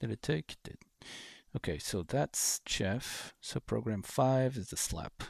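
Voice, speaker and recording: In a very clean recording with a silent background and a dry, close sound with no echo, a man speaks at a fairly slow pace with a fairly low pitch and lively intonation. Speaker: flight sim livestreamer. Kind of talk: casual livestream chat. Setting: home PC livestream. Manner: halting, many fillers; mumbling at times. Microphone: a bit quiet.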